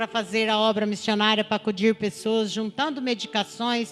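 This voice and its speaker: With music in the background, a woman talks at a fairly slow pace in a fairly high voice. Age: 60s. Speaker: churchgoer giving testimony. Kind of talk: testimony.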